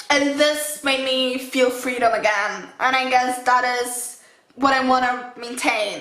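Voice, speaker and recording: A woman speaks at a high pitch in a raised, projected voice with a non-native accent, slow-ish and flat. Her fairly slow, monotone delivery carries audible room echo. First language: not English. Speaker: fitness vlogger. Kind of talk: casual vlog talk to camera. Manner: halting, with self-corrections.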